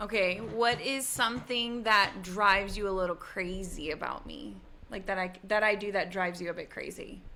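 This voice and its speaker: A woman speaks loudly at a medium pitch. Her pace is moderate, with ordinary pitch variation. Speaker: podcast host. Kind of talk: casual chat.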